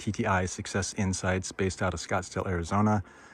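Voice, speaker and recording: With an American accent, a man speaks in a very deep, low voice and a monotone, flat intonation on a very clean recording with a silent background. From United States. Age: 60s. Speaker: business consultant and property investor. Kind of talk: casual walkthrough pitch. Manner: casual, with many fillers.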